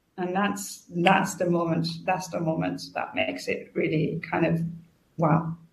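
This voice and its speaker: A woman's fairly low voice with vocal fry, at a fairly slow pace, amid audible room echo. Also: fairly even intonation. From France. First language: French. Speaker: customer experience consultant and author. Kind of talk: interview.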